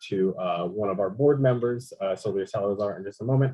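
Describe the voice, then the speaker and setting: A man talks in a fairly low voice with ordinary pitch variation. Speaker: nonprofit staff hosting a training. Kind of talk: meeting housekeeping announcements. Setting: video call. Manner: halting, many fillers.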